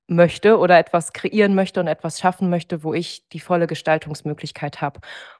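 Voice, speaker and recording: An unremarkable speaking voice with fairly even intonation, heard in a dry, close sound with no echo against a quiet background. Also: woman. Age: 20s. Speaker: dentist. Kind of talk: interview.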